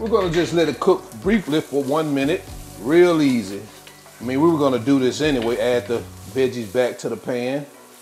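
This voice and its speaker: Faint music plays in the background as a man talks at a fairly quick pace. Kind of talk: cooking tutorial. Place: kitchen.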